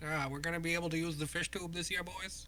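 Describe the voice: A man's high-pitched, put-on character voice in a Texan accent, at a very fast pace over clear background noise.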